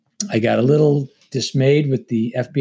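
A man with an American accent talks at a moderate pace. His tone is dark and mellow. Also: very clean recording, silent background. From Long Island, New York. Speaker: former Navy SEAL and FBI agent, leadership author. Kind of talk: interview conversation.

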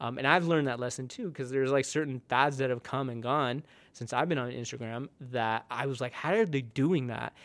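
A man with a US West Coast accent and ordinary pitch variation, in a very clean recording with a silent background. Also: medium pitch for a man, fairly quick pace, hardly any pauses. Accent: US West Coast American. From US West Coast (born in India, moved young). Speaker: photographer. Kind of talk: casual interview. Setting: studio.

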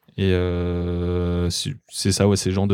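The recording is very clean with a silent background. A man speaks with a very deep, low pitch, a dark, mellow tone and monotone, flat intonation. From France, Alsace. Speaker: podcaster and winemaker's son. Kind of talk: casual chat.

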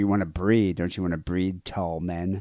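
With an American accent, the speaker goes at a fairly quick pace in a dry, close sound with no echo and a quiet background. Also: man. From United States. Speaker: podcast host. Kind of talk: casual chat. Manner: laughs often.

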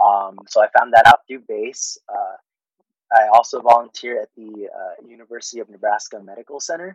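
A man speaks in a Californian accent with big swings in loudness. Long, frequent pauses break up his speech, and the sound is dry and close with no echo. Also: fairly quick pace. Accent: Californian American English. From Fairfield, California (born in the Philippines). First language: Tagalog. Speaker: air force paralegal. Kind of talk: interview.

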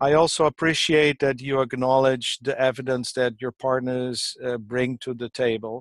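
Delivered in a monotone, flat intonation, a man's fairly slow speech has a dry, close sound with no echo. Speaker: webinar participant asking question. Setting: video call.

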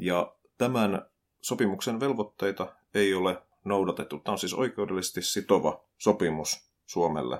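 A man's ordinary speaking voice at a fairly low pitch, with ordinary pitch variation, a fairly slow pace, and a very clean recording with a silent background. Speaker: podcast host, social commentator. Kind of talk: solo commentary podcast.

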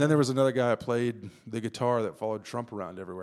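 A man with an Ohio accent speaks at a very fast pace. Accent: Midwestern US (Ohio). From Ohio (Zanesville). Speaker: photojournalist. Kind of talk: casual interview chat.

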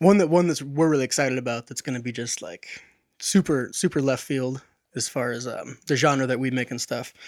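A man with a normal speaking voice talks at a medium pitch with fairly even intonation, recorded very cleanly against a silent background with a dry, close sound and no echo. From US Pacific Northwest. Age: 20s. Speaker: electronic music producer. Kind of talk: casual interview chat. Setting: studio.

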